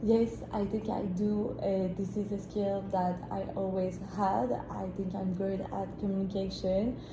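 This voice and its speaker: A woman's medium-pitched voice in a French accent, fairly slow with hardly any pauses and fairly even intonation, amid audible room echo and noticeable background noise. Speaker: job applicant in a mock interview. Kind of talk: mock job interview. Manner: hesitant, many fillers.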